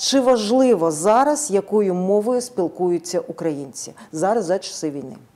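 Against music in the background, a woman talks at a fairly slow pace with very wide pitch swings and hardly any pauses. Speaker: TV news host. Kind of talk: news program presenting. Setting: studio. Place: studio. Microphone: lapel.

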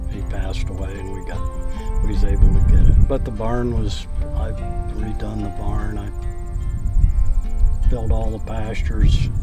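At a moderate pace with long, frequent pauses, the speech has a dry sound with no echo and loud music in the background. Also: man. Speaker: farmer. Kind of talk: interview answer. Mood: relaxed storytelling. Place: farm machine.

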